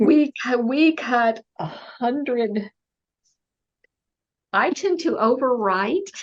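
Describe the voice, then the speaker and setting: In an American accent, a woman speaks at a high pitch with lively intonation. Her pace is very slow. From United States. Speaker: mystery novelist. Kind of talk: interview answer.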